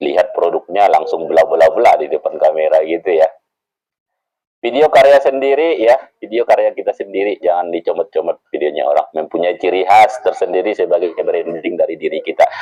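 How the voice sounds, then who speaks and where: A man talks fairly quickly, the sound dry and close with no echo at all. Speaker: social media selling trainer. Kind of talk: workshop presentation. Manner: casual, conversational.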